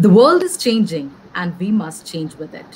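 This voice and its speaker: A woman talks at a very slow pace. There is light background noise. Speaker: event host. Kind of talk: formal welcome speech. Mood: formal, polite. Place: home room.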